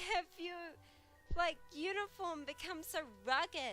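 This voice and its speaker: Against music in the background, a woman speaks at a very slow pace. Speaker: digital artist. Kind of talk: casual talk over drawing video. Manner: quiet; hesitant, many fillers.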